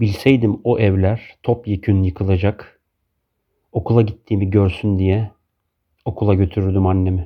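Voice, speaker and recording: Here a man speaks with monotone, flat intonation. His loudness stays very even throughout. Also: fairly low pitch for a man. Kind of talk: poem reading. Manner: slow, measured, reflective.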